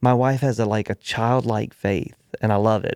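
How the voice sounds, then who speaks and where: A man talks at a moderate pace with a fairly low pitch and ordinary pitch variation, a plain, everyday voice. The recording is very clean, with a silent background. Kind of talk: casual conversation about faith.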